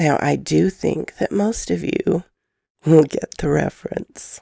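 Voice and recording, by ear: A woman speaks slowly at a low pitch with ordinary pitch variation and a dark, mellow tone. Her voice is croaky, with vocal fry and a slightly husky edge.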